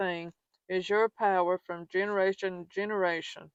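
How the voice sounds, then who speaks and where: The speaker has a Southern US accent and a moderate pace, recorded in a dry, close sound with no echo against a quiet background. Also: woman. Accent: Southern American. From Southern United States. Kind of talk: religious scripture reading. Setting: outdoors.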